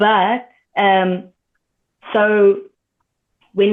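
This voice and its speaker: In a medium-pitched voice, a woman talks with monotone, flat intonation. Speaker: reality show contestant. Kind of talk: podcast interview.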